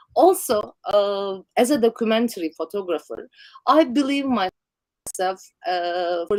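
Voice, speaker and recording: A woman with a Turkish accent speaks at medium pitch with lively intonation. The sound is dry and close, with no echo. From Turkey. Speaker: documentary photographer. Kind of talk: interview. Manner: halting.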